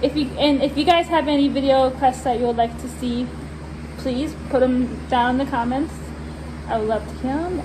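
A woman speaks in a high voice. Noticeable background noise sits behind her. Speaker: vlogger. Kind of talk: casual vlog chat. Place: farm machine. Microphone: phone near.

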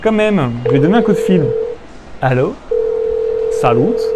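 A man speaks against light background noise. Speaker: game video host. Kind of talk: gameplay commentary, reading game text. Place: studio. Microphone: lapel.

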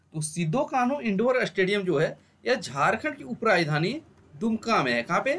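The pitch swings big and the tone is fairly bright. The pace is moderate.

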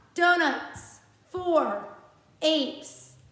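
In a room with audible echo but a quiet background, a woman projects a raised voice at an extremely high pitch. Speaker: music teacher. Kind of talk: tutorial. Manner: slow, patient and encouraging. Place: classroom. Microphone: phone near.

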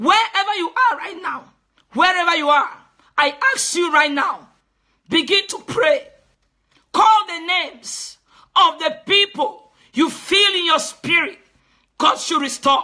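Raising and projecting her voice, a woman with an extremely high pitch talks at a fairly slow pace in an animated, bright, sharp tone, her lively intonation broken by long, frequent pauses. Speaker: preacher. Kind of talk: sermon.

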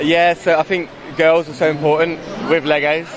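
Faint background noise and faint crowd noise sit behind a voice at a moderate pace with little pitch movement. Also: man, fairly high pitch for a man.

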